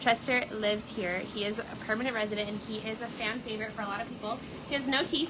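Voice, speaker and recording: A woman at a very fast pace with fairly even intonation, amid audible room echo and noticeable background noise. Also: fairly high pitch for a woman. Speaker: cat shelter livestream host. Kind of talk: live stream chat. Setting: indoor shelter room, livestream. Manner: loud.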